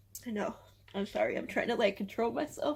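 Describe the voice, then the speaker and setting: A woman is speaking. Her intonation is lively. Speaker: booktuber. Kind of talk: casual vlog to camera. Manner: halting.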